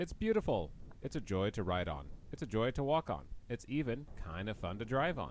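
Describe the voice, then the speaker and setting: A man speaks with an American accent and a fairly low pitch. His voice shows vocal fry and very wide pitch swings. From United States. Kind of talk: video essay narration.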